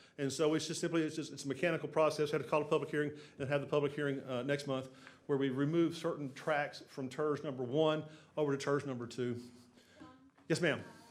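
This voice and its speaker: A man's fairly high, monotone, flat delivery at a very fast pace, with audible room echo. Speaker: city development consultant. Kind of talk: council meeting presentation. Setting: city council chamber. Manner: halting, many repetitions.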